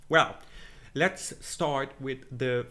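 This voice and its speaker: A man with a German accent at a fairly slow pace. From Germany. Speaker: film commentator / video creator. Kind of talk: casual monologue, predictions. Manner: halting, many fillers.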